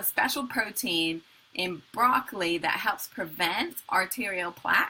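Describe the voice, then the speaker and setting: Someone speaks very slowly with an American accent and lively intonation. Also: woman. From England. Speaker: color healer and spiritual coach. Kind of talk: live online talk. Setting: live video stream.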